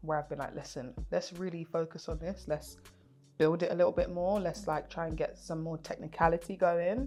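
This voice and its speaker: Music in the background behind a woman at a moderate pace. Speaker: singer. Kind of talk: casual chat.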